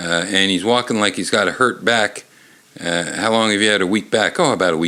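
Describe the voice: Ordinary pitch variation in plain reading aloud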